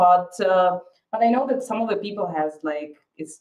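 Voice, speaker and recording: Speaking in a Slovak accent at a moderate pace, a woman uses a medium pitch with very wide pitch swings. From Slovakia. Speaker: school staff. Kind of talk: webinar.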